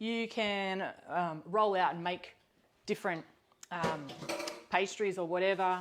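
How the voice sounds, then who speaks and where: A woman with an Australian accent, very slow pace and ordinary pitch variation. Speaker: cookbook author and cooking host. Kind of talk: live cooking demonstration. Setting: home kitchen, live stream. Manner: casual, with many fillers.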